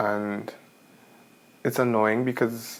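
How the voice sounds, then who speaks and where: Soft-spoken, a man talks in a fairly low pitch. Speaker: manifestation vlogger. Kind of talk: casual vlog monologue. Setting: at home late at night.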